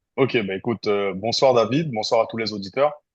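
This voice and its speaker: Against a quiet background, a man of medium pitch talks at a moderate pace. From French Guiana. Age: 30s. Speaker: content creator. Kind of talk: podcast interview. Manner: hesitant, many fillers.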